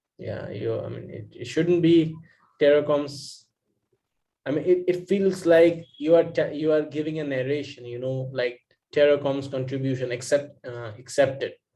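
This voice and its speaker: A man with a fairly high pitch and a dark, mellow tone speaks at a moderate pace, somewhat breathy. His intonation is fairly even while his loudness swings widely. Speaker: exam prep student. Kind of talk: casual study discussion over video call. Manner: halting, many fillers.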